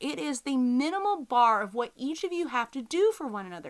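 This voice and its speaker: Her pitch high and swinging very widely, a woman speaks at a fairly quick pace with an American accent. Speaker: podcast host, business lawyer. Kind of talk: educational podcast talk. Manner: casual, conversational.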